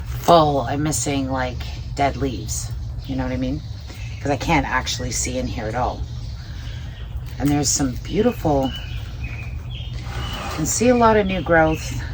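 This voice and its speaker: Mumbling at a moderate pace, the speaker leaves long, frequent pauses over noticeable background noise. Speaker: plant care vlogger. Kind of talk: casual tutorial. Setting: outdoors.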